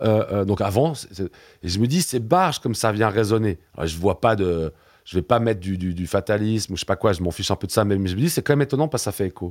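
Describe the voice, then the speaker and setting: In a very clean recording with a silent background, a man with a fairly low pitch speaks at a very fast pace with ordinary pitch variation. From Switzerland. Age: 40s. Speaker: museum director and science fiction scholar. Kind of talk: interview. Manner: hesitant, many repetitions and fillers.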